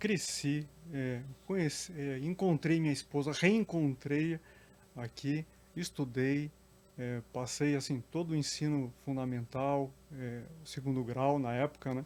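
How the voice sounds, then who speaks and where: A man speaks at a fairly slow pace with fairly high pitch, ordinary pitch variation and a plain, everyday voice. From Curitiba, southern Brazil. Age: 40s. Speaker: public servant and council candidate. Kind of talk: interview.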